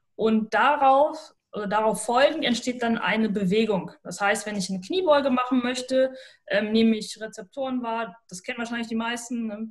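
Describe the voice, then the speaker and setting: This woman has a normal speaking voice, fairly high in pitch, with ordinary pitch variation. She talks at a moderate pace, her loudness swinging widely. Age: 20s. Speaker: sports scientist and neuroathletics trainer. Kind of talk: podcast interview.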